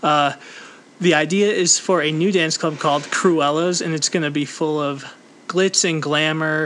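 A man's fairly high voice with fairly even intonation over noticeable background noise. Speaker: podcast host. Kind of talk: casual chat.

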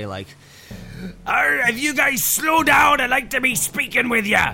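A put-on character voice, fairly high in pitch, delivers its lines at a fairly slow pace. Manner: gruff.

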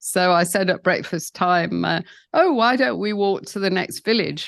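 A woman with a southern English accent at a moderate pace, against a quiet background. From England. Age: 70s. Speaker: founder of a sobriety community. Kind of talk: interview storytelling.

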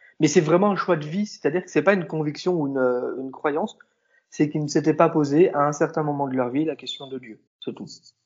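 An unremarkable speaking voice at a fairly quick pace, with ordinary pitch variation and big swings in loudness. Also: man, fairly high pitch for a man. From southern France. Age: 20s. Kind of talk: interview.

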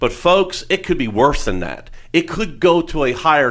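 A man's fairly high voice with vocal fry, at a fairly slow pace. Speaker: financial advisor and radio show host. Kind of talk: radio talk show interview.

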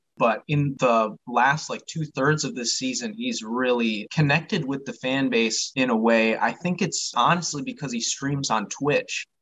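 At a fairly slow pace, a man with an American accent talks in an ordinary speaking voice, medium in pitch with ordinary pitch variation. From Michigan. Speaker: sports card collector and reseller. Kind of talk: casual chat.

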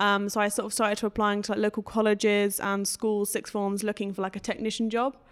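A woman at a very fast pace, flat and monotone, with hardly any pauses. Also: medium pitch for a woman. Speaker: recent textile design graduate. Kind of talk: interview. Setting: studio. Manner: informal.

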